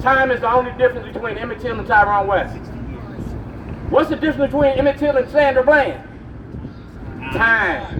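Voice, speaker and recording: Noticeable background noise sits behind a man speaking at a moderate pace in an extremely high pitch. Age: 60s. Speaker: activist. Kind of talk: rally speech. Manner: animated.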